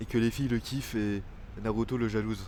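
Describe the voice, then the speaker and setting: A man talks at a moderate pace and a medium pitch. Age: 20s. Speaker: vlogger. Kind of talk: personal video diary. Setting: outdoors in a park. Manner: halting, many fillers.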